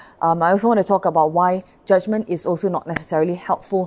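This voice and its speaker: With fairly even intonation, a woman speaks fairly quickly at a fairly low pitch. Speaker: Buddhist pastor. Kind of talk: dharma talk. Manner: fast.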